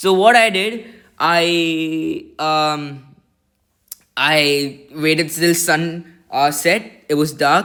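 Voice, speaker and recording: A man speaks loudly in an excited tone. His pitch is high, with ordinary variation. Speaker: amateur astronomer, first-time video reviewer. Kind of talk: product review video. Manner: halting, many fillers; loud, excited.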